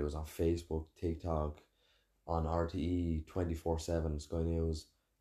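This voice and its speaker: In an Irish accent, a man speaks at a very deep, low pitch with a dark, mellow tone and somewhat breathy delivery. His intonation is monotone and flat, over a quiet background. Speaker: podcast host and chef. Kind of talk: casual chat.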